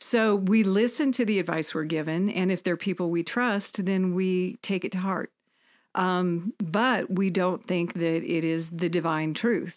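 Recorded very cleanly against a silent background, a woman with an American accent speaks at a fairly slow pace and medium pitch, with very even loudness and ordinary pitch variation. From Indiana, US Midwest. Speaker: concert promoter and businesswoman. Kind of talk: casual interview chat.

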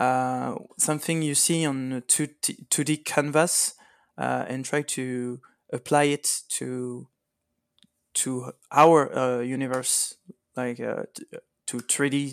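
Speaking with a French accent at a medium pitch, a man goes very slowly in a flat monotone with long, frequent pauses, in a dry, close sound with no echo. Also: very clean recording, silent background. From France. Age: 30s. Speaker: miniatures painter. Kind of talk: interview. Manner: halting.

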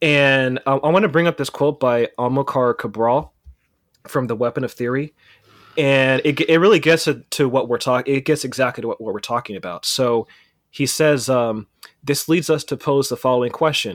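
In a normal speaking voice with an American accent, a man talks at a moderate pace, his medium pitch showing ordinary variation. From California. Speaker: freelance journalist and podcast host. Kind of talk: casual discussion.

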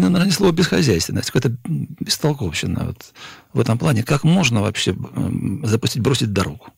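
A man speaks with very wide swings in pitch. His voice carries vocal fry. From Stavropol region, southern Russia. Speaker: journalist. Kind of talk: radio panel discussion. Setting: studio.

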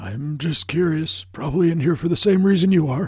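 This man puts on a character voice pitched high. He delivers it at a fairly quick pace. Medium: actual play.

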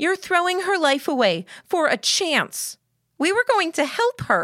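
A woman's put-on character voice, extremely high in pitch with big pitch swings and a fairly bright tone, at a fairly slow pace, in a very clean recording with a silent background and a dry, close sound free of echo.

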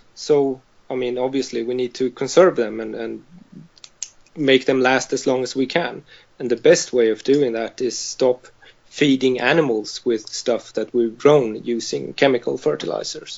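A moderate pace pairs with fairly even intonation. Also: man, medium pitch for a man. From Sweden, Malmö. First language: Swedish. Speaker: vegan farmer. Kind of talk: interview. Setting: call.

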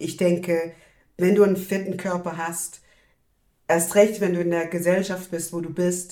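A woman with a normal speaking voice talks at a fairly low pitch and a moderate pace, with fairly even intonation but big swings in loudness. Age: 30s. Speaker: activist. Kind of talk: casual chat. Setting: video call.

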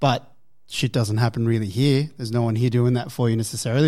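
On a very clean recording with a silent background, a man speaks in an unremarkable speaking voice, medium in pitch, with fairly even intonation. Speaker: gym manager. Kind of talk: casual chat.

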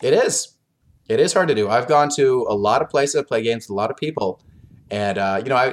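A man with an American accent talks at a fairly quick pace in an unremarkable speaking voice, his pitch medium. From US, Oklahoma. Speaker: board game designer. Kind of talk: interview, casual chat.

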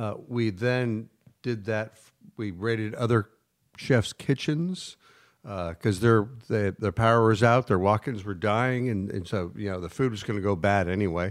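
Fairly low male voice at a moderate pace, ordinary pitch variation and big swings in loudness, in a very clean recording with a silent background. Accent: American. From Northern California, Napa and Sonoma. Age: 50s. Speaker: former winery worker and chef. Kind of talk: casual chat. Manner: halting, many fillers.

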